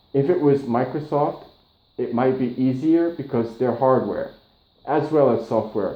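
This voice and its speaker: Fairly slow speech with audible room echo. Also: man, medium pitch for a man, ordinary pitch variation. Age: 40s. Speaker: patient. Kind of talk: casual chat. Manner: halting.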